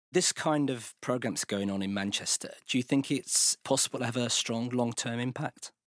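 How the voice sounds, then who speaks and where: A man of medium pitch with a British accent speaks at a moderate pace, with hardly any pauses and ordinary pitch variation, on a very clean recording with a silent background. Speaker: podcast host and editor. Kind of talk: scripted narration.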